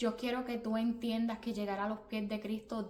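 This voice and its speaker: Monotone, flat intonation from a woman with a Puerto Rican accent, fairly high in pitch, at a moderate pace over noticeable background noise. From Puerto Rico. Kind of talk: religious motivational talk. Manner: repetitive, earnest.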